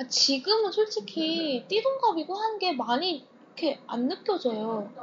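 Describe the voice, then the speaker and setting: Over noticeable background noise, a woman with an extremely high voice talks at a fairly slow pace with very wide pitch swings. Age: 20s. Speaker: guest seeking advice. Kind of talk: casual chat. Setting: library.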